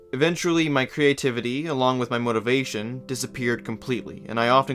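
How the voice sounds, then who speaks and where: Speech comes at a very fast pace with fairly even intonation, against noticeable background noise. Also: man. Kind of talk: video essay narration. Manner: monotone.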